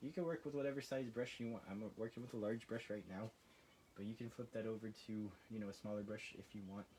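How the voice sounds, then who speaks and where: A man rattles along at a very fast pace, his medium-pitched voice dark and mellow, with ordinary pitch variation. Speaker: art instructor. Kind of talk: tutorial. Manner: casual, hesitant with fillers; occasional stuttering.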